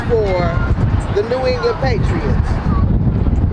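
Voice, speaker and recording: A woman's voice in a dry sound with no echo, under loud background noise. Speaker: event speaker, parent. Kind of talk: rally speech. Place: stadium.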